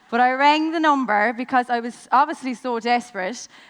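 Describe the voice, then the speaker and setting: In a Limerick accent, a woman speaks with a fairly high pitch. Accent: Irish (Limerick). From Ireland, Limerick. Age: 20s. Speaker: network marketing business owner. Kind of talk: motivational speech. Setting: stage with audience.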